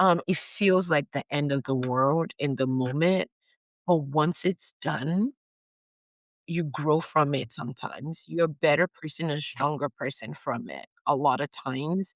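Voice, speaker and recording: A woman speaks at a fairly slow pace in a very deep, low pitch, with ordinary pitch variation. The sound is dry and close, with no echo. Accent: American. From Nigeria. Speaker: physician. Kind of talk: interview. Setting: podcast recording.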